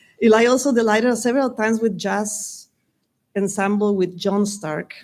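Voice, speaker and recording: The recording is very clean, with a silent background. A woman with a Spanish accent speaks at a moderate pace, her fairly high pitch held in fairly even intonation. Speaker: Spanish teacher. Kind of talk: commencement speech. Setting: graduation ceremony with audience.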